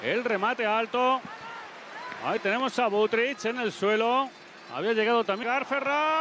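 Over noticeable background noise, a man uses a raised, projected voice at an extremely high pitch, leaving long, frequent pauses. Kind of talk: live sports commentary. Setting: stadium broadcast. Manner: fast, excitable, shouting goal calls; rapid-fire play-by-play, breathless.

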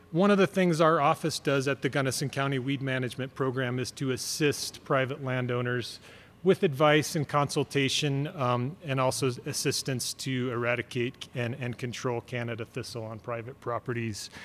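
The pace of this man's speech is moderate. Ordinary variation runs through his pitch. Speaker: county weed program manager. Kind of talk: presentation to landowners. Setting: room with audience. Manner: soft-spoken. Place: hall. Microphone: podium.

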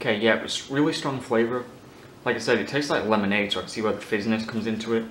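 A man talks at a very fast pace at medium pitch with fairly even intonation. There is audible room echo and light background noise. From Ireland and the UK. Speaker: YouTuber, food taster; YouTuber. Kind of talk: casual vlog, taste test. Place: home room.

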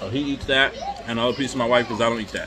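The speech moves at a fairly quick pace. Crowd noise fills the background. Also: man. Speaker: food vlogger. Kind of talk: casual vlog chat, food review. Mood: relaxed, casual. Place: home room. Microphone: phone near.

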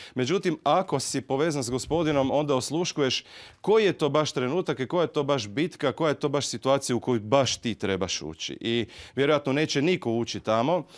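Against a quiet background, a man speaks at a fairly quick pace in a fairly high pitch with ordinary pitch variation. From Croatia, Zagreb. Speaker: preacher. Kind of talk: sermon. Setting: church. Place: church. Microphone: handheld.

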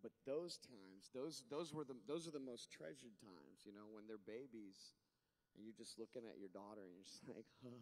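This man talks at a fairly quick pace with lively intonation and big swings in loudness. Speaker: father, guest speaker; guest. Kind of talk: casual on-stage chat; heartfelt talk to an audience. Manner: casual, humorous, halting. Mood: tender, apologetic, sincere. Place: stage. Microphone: handheld.

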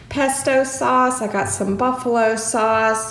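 At a very slow pace, a woman speaks with ordinary pitch variation amid audible room echo. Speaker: home vlogger. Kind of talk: casual vlog chat. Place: kitchen. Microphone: phone near.

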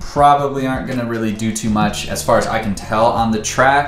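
The speech moves at a moderate pace. Audible room echo and faint music can be heard in the background. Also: man. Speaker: car hobbyist vlogger. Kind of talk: casual vlog chat. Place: garage.

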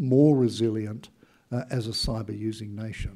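A man speaks with an Australian accent. His tone is dark and mellow, and somewhat breathy. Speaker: former intelligence chief; conference speaker. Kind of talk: speech. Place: hall. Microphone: podium.

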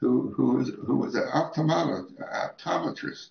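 Audible room echo surrounds this recording. In it, a man is talking. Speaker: interviewee. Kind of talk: interview answer. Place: home room.

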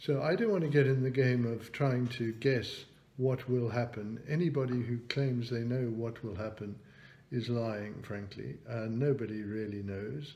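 Somewhat breathy and with a British accent, a man speaks at a medium pitch and a fairly slow pace, his dark, mellow tone showing ordinary pitch variation. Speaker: economist and business chairman. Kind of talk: online talk with Q&A. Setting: video call.

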